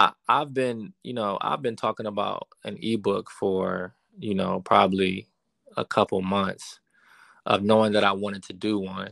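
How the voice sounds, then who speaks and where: A man with an unremarkable speaking voice talks at a fairly slow pace, fairly low in pitch, with fairly even intonation. The recording is very clean with a silent background and a dry, close sound with no echo. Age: 30s. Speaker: real estate investor. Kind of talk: casual chat.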